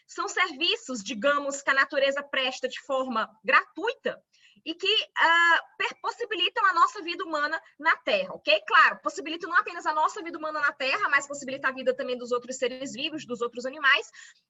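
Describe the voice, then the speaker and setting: A woman's high pitch and lively intonation at a fairly quick pace, with big swings in loudness. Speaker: law lecturer. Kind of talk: online lecture.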